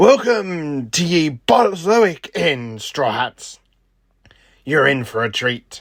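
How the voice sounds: A man uses a put-on character voice at a slow pace, with a fairly high pitch, vocal fry and lively intonation. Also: fairly bright tone.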